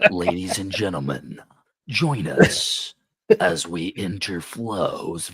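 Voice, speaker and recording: At a very slow pace, a man puts on a character voice with a very deep, low pitch. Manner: dramatic, grandiose.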